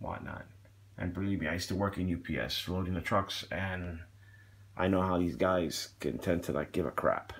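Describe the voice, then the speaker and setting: A man talks with a very deep, low pitch and vocal fry. His intonation is fairly even. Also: moderate pace. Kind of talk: casual unboxing review chat. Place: home room.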